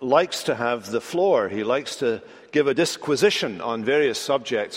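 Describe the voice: The plain reading aloud comes with lively intonation.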